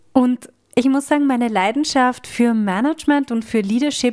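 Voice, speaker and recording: Fairly high-pitched female voice, unhurried at a fairly slow pace. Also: very clean recording, silent background. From Austria. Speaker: podcast host and coach. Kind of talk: personal monologue.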